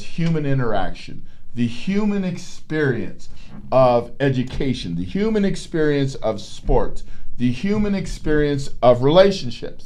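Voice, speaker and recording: Fairly high in pitch, a man speaks fairly slowly with very wide pitch swings. Audible room echo surrounds his voice. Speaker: psychologist and podcast host. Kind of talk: educational talk. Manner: animated.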